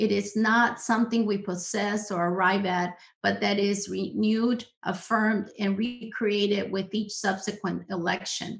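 A woman with an American accent speaks at medium pitch, somewhat breathy and monotone. Her pace is fairly slow against a quiet background. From US-Mexican border region. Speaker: social psychologist, professor; professor. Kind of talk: presentation with slides. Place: home room. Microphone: webcam.

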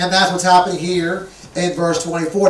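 Speaking at a fairly slow pace, a man with a high-pitched voice is heard over light background noise and audible room echo. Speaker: pastor. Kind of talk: sermon. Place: church.

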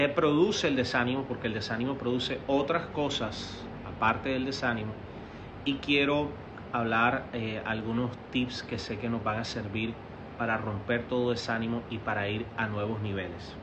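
Moderate-paced speech from a man with ordinary pitch variation and noticeable background noise. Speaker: pastor. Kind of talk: sermon. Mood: calm, earnest. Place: home room. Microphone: phone near.

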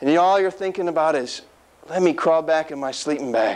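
Pitched high for a man, his very fast speech shows ordinary pitch variation. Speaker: speaker. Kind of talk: motivational speech. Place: meeting room. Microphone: lapel.

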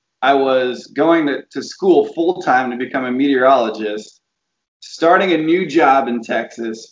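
Audible room echo around a man's fairly slow, fairly high-pitched delivery with ordinary pitch variation. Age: 30s. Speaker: TV meteorologist. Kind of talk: casual chat. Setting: video call. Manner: animated. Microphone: video call.

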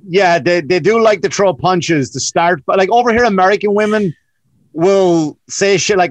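A man speaks with lively intonation at a high pitch. The sound is dry with no echo, over a quiet background. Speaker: comedian. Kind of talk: casual comedic podcast chat. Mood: joking, conversational. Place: home room. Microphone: webcam.

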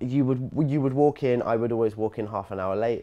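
A man's dark, mellow voice at a moderate pace. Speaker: interviewee. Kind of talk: interview answer. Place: shop. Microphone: lapel.

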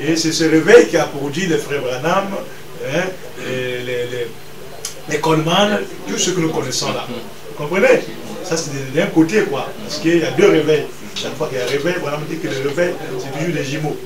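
A man talks at a moderate pace with ordinary pitch variation. He leaves long, frequent pauses over noticeable background noise. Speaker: pastor guest. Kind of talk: interview answer. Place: home room. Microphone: camera far.

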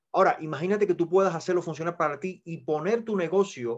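Over a quiet background, a man speaks at a fairly quick pace and a high pitch. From Cuba. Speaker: network marketing presenter; presenter. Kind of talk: sales pitch. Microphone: video call.

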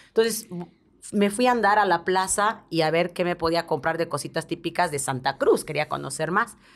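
Her voice sits fairly low in pitch for a woman. The intonation is lively. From Bolivia (La Paz); Bolivia. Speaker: TV presenter and advertising producer; podcast guest. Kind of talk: interview. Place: studio. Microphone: studio mic.

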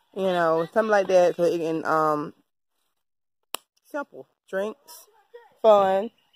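In a dry recording with no echo, a woman uses an ordinary speaking voice, fairly even intonation and a fairly slow pace. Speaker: vlogger. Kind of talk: casual vlog chat. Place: garden. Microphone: phone near.

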